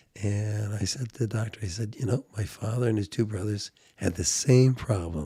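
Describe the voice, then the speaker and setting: With a dark, mellow tone and a somewhat breathy quality, a man speaks at a moderate pace in a fairly low pitch with ordinary pitch variation. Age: 70s. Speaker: precious metals commentator. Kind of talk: casual chat.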